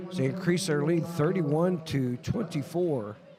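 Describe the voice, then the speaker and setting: With music behind him, a man's speech rises and falls in a lively way. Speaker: roller derby announcer. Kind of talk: live commentary.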